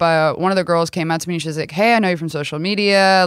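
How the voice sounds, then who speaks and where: On a very clean recording with a silent background, an unremarkable speaking voice with an American accent keeps fairly even intonation. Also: woman. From Texas, rural area near Rockwall. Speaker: content creator. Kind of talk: casual chat. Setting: studio.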